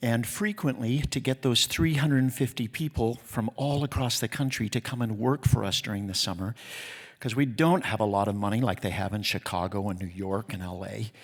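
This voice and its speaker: On a very clean recording with a silent background, a man with an American accent talks at a fairly quick pace in a medium pitch, animated in tone with ordinary pitch variation. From Utah. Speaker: theatre festival executive. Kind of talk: award acceptance speech. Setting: stage with audience. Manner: fast.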